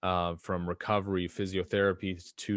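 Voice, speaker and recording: At a fairly quick pace, a man with a Canadian accent speaks in a very deep, low pitch with monotone, flat intonation. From western Canada, Edmonton, Alberta. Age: 20s. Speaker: supplement company owner. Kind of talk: interview.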